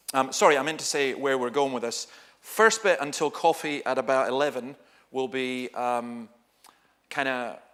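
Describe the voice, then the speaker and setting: Recorded very cleanly against a silent background, a man with a Dundee accent talks at a moderate pace and medium pitch, with ordinary pitch variation. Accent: Scottish (Dundee). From Scotland, Dundee. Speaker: pastor. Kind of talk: seminar talk. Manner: animated.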